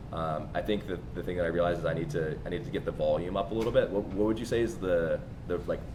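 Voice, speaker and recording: Amid noticeable background noise and audible room echo, a man with a very deep, low pitch talks at a very fast pace. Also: ordinary pitch variation. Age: 20s. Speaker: podcast host, SaaS founder. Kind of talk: podcast interview. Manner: halting, many fillers.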